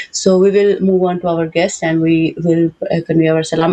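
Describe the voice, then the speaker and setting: Over noticeable background noise, a woman speaks at a fairly quick pace. Her pitch is fairly low and her intonation fairly even. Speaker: TV show host. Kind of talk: panel interview. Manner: fast; hesitant, many fillers. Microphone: cracked sound on remote line.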